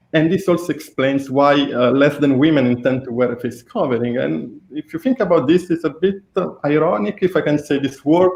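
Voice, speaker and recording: This man speaks fairly quickly in an Italian accent, with hardly any pauses, a fairly high pitch and ordinary pitch variation. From Italy. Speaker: researcher. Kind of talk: interview.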